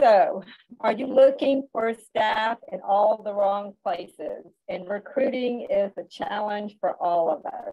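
In a Southern US accent, a woman speaks at a very slow pace and a fairly high pitch against a quiet background. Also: ordinary pitch variation. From US South (Georgia). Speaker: school nutrition director; webinar presenter. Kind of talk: webinar presentation. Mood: warm, encouraging. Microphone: video call.

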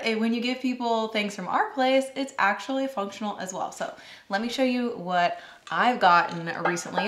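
A woman speaks at a fairly quick pace. Audible room echo trails her words. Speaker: food content creator. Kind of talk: casual vlog chat, product review. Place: kitchen.

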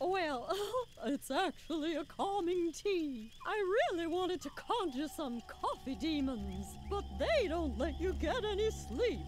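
In a put-on character voice, the pitch sits extremely high. The pace is fairly slow, with clear background noise behind it. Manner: distracted, fussy.

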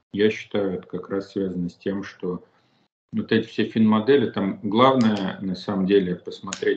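There is audible room echo as a man talks at a fairly slow pace, his fairly low pitch held in fairly even intonation. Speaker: guest. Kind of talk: interview answer. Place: home room.

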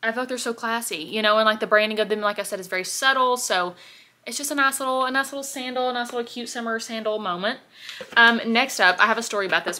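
Her pitch varies in an ordinary way as a woman talks very fast. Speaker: haul vlogger. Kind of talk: casual vlog chat. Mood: chatty, upbeat. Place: home room. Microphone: phone near.

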